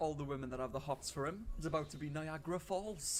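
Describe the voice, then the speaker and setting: Very fast speech in a Welsh accent over noticeable background noise. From Wales. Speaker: commentary streamer. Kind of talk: reaction commentary. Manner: animated.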